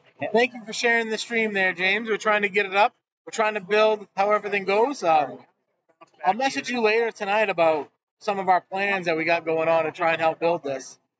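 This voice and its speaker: Loud and high-pitched, a man talks at a fairly quick pace with ordinary pitch variation. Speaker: bowling stream commentator. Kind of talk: live commentary.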